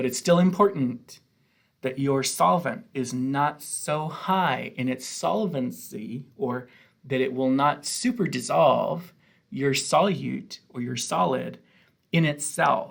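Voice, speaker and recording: A man's fairly high voice at a very slow pace, with vocal fry and lively intonation. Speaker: chemistry professor. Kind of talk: lecture.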